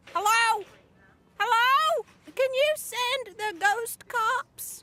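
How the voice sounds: A cartoonish character voice, female-sounding and squeaky, at an extremely high pitch and a very slow pace.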